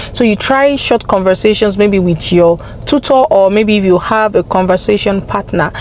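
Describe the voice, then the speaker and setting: Against noticeable background noise, a woman with a medium-pitched voice talks at a moderate pace. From Nigeria (Yoruba). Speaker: language-learning vlogger. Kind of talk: casual vlog advice.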